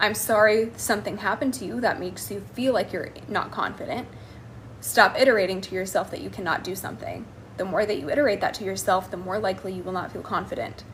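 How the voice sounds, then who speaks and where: A very fast delivery with an American accent, lively intonation and big swings in loudness. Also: woman, medium pitch for a woman. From United States. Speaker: life coach. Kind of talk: live stream Q&A. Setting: live stream.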